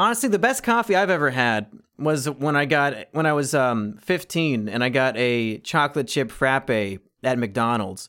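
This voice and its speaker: At a moderate pace with hardly any pauses, a man uses a normal speaking voice of medium pitch, with lively intonation and very even loudness on a very clean recording with a silent background. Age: 20s. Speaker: YouTuber and author. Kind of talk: casual chat.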